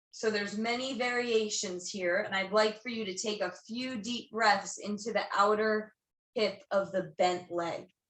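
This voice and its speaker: A woman's fairly high voice, fairly slow and with fairly even intonation. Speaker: yoga teacher. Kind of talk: guided yoga class instruction. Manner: loud.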